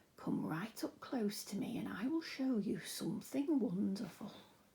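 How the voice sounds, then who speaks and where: In a put-on character voice, a woman whispers with a creaky quality at a moderate pace. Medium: read story. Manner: whispering, slow.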